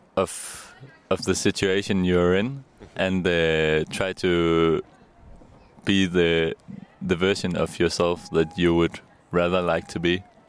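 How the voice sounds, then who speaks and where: This man's pace is very slow, with a Danish accent. His pitch is very deep and low. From Denmark. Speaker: electronic musician. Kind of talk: interview. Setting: outdoors. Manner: halting.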